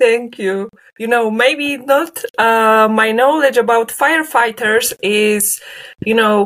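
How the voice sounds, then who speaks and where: A woman with a Polish accent, fairly high in pitch, at a fairly slow pace with fairly even intonation. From Poland, Leszno. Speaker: linguistics graduate researcher. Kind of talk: interview.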